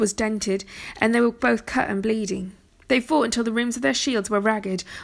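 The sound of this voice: The intonation remains fairly even as an unforced voice reads.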